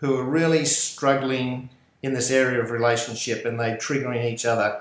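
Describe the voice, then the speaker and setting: A man speaks with an Australian accent, and audible room echo surrounds his voice. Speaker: podcast host. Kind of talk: interview.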